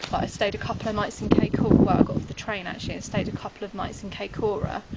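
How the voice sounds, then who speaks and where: Over noticeable background noise, a woman with a British accent talks very fast at medium pitch in a monotone, flat intonation. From United Kingdom. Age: 20s. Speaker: backpacker. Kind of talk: interview answer.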